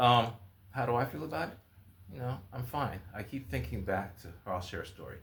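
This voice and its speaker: Audible room echo surrounds a man speaking at a fairly quick pace. His pitch swings very widely. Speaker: writer and video blogger. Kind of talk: casual vlog monologue.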